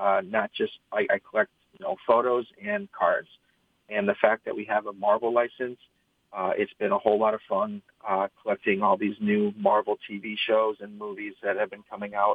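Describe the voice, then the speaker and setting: In a Midwestern American accent, a man speaks at a moderate pace. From Michigan, East Lansing. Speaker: trading card product manager. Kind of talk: interview. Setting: video call.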